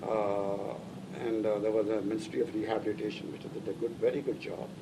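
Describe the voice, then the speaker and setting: Noticeable background noise and audible room echo surround a man speaking fairly quickly in a fairly low voice with ordinary pitch variation. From northern India (Lahore, then Delhi). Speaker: immigrant interviewee. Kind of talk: oral history interview. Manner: halting, many fillers.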